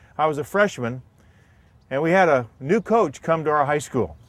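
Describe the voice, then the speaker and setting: At a moderate pace, a man speaks. His intonation is lively. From US Midwest, Indiana. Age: 60s. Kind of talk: personal testimony.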